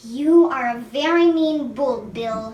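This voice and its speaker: A woman's put-on character voice, high-pitched and fairly slow, with audible echo. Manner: calm, quietly firm.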